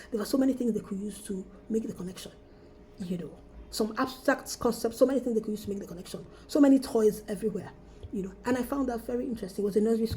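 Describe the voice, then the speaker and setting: A woman talks at a very fast pace and a fairly high pitch. Her pitch variation is ordinary, while her loudness swings widely. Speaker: school marketing trainer, former teacher. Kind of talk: training lecture.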